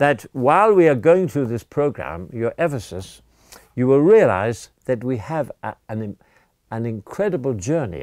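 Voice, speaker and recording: A man with an English accent, very wide pitch swings, and a very clean recording over a silent background. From England. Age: 80s+. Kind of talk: language lesson / religious teaching. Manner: animated; halting, repeats words.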